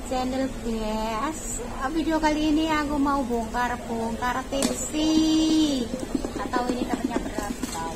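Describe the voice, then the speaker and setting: Music plays in the background as a woman talks. Her pace is very slow, with ordinary pitch variation. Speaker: cafe worker vlogger. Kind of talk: casual vlog chat. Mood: cheerful, laughing. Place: cafe. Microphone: phone near.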